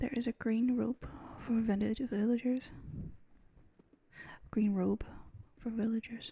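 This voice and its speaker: Soft-spoken and relaxed in tone, the voice moves at a fairly slow pace. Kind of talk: soft-spoken gaming commentary for relaxation. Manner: soft-spoken, relaxed.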